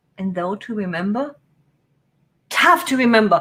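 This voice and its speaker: A woman's bright, sharp voice with a non-native accent and ordinary pitch variation. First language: not English. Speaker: business productivity youtuber. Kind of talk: live stream tutorial. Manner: casual, chatty.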